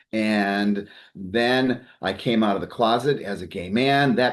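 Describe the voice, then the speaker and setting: A man speaks in an ordinary speaking voice at a medium pitch, with ordinary pitch variation and a quiet background. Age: 60s. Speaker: psychotherapist and life coach. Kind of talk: interview.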